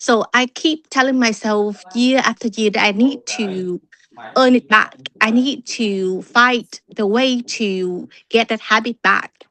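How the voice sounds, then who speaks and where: In a Vietnamese accent, a woman speaks at a very slow pace. Her fairly high voice keeps a fairly even intonation. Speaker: club member. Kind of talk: impromptu speech. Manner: halting.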